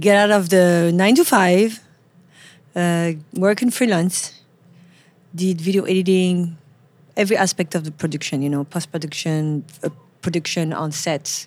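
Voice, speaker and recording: With a French accent, a woman speaks at a moderate pace and fairly low pitch, using ordinary pitch variation. She leaves long, frequent pauses. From France, Paris. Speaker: photographer. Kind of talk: casual interview. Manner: halting, with repeated words.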